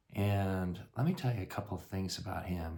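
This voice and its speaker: A man with a very deep, low pitch speaks somewhat breathy at a fairly slow pace, with audible room echo. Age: 60s. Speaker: family storyteller. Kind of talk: casual storytelling. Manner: halting.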